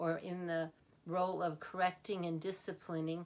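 A woman speaks in a warm tone. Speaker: grandparent, counselor and author. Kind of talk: instructional talk to camera on grandparenting. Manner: warm, unhurried, friendly. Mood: warm, encouraging. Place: home room. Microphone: phone near.

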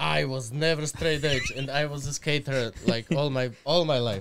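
With an Eastern European accent, a man talks at a fairly slow pace in a fairly high pitch, with ordinary pitch variation and noticeable background noise. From Slovakia. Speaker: podcast guest. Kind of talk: casual, profane, non-native English. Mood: relaxed, joking. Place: studio. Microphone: studio mic.

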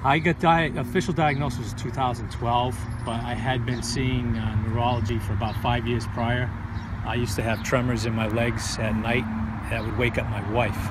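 A man talks at a moderate pace over loud background noise. The sound is dry, with no echo. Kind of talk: interview answer. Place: garden. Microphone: phone near.

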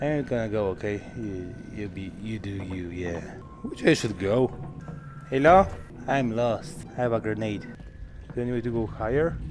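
A man's fairly low-pitched voice at a moderate pace, with ordinary pitch variation, long, frequent pauses, and music in the background. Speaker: VR gameplay streamer. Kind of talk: casual gameplay commentary.

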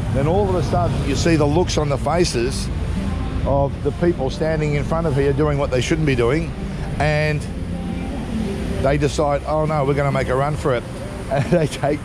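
Music plays in the background. The speech moves at a moderate pace with long, frequent pauses. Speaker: travel vlogger. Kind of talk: casual vlog chat. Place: street. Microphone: phone near.

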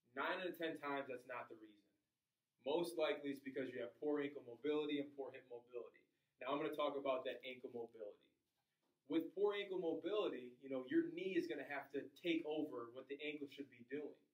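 A man talks at a very fast pace with ordinary pitch variation. The room echo is audible, though the background is quiet. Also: big swings in loudness. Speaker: fitness trainer. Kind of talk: tutorial. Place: gym. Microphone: camera far.

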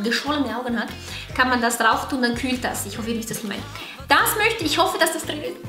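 Over clear background music and audible room echo, a woman talks very fast in a high pitch with ordinary pitch variation. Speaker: beauty vlogger. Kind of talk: casual vlog chat. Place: home room.

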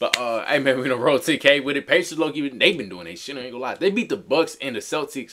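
Here a man speaks at a very fast pace with vocal fry. Behind him, the background is quiet. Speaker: sports reaction YouTuber. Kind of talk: casual reaction chat. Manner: animated, loud, informal.

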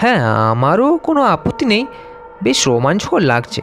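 Over clear background music, a man does a cartoonish character voice, pitched high, swinging very widely in pitch at a moderate pace.

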